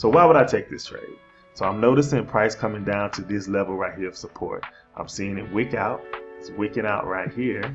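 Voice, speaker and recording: Backed by music, a man with a Southern US accent and fairly low pitch talks fairly quickly with lively intonation and big swings in loudness. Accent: Florida, Southern US. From Florida.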